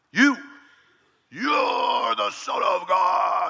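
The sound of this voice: Extremely high for a man, this put-on character voice comes from a man.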